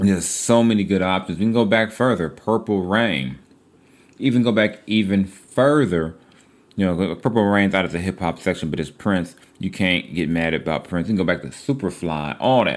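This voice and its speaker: With an unremarkable speaking voice, a man talks at a moderate pace, fairly low in pitch, with ordinary pitch variation. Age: 40s. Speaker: sports journalist and podcast host. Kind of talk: casual solo podcast monologue. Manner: casual, conversational.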